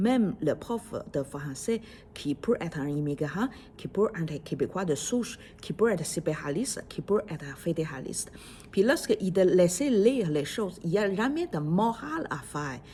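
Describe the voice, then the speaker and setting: A woman with a Chinese accent speaks at medium pitch and a moderate pace. Her pitch swings very widely. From China. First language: Chinese (speaking French). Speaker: podcaster. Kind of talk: casual monologue. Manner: halting, many fillers.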